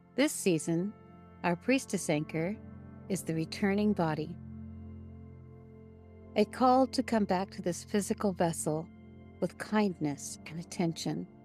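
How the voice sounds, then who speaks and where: Music plays in the background as a woman with a fairly low pitch speaks at a fairly slow pace. Her intonation is lively, with long, frequent pauses. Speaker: podcast host. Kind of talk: guided spiritual podcast narration, meditation-style. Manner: calm, slow, gentle, with pauses.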